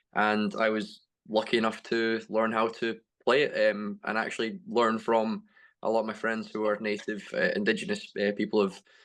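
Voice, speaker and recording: A man with a Scottish accent at a moderate pace, against a quiet background. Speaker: sports coach and athlete. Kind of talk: panel discussion.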